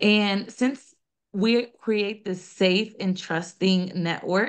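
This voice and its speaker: This is an unremarkable speaking voice with ordinary pitch variation. The background is quiet. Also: woman. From US South, small-town North Carolina, Colombian family. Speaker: nonprofit founder and director. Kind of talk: podcast interview.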